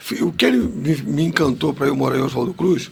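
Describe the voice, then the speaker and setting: Noticeable background noise runs behind a man who speaks at a moderate pace. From Rio de Janeiro suburbs, Madureira. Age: 60s. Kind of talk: podcast interview storytelling.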